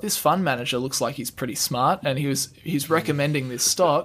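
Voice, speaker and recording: Speaking at a very fast pace, a man with an Australian accent has a fairly high pitch. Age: 20s. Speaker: finance YouTuber. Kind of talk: casual interview.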